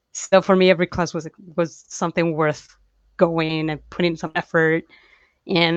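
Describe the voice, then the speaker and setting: Recorded dry and close with no echo and a quiet background, a woman with a Spanish accent speaks at a fairly low pitch. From Chile. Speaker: comic book artist. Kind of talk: interview.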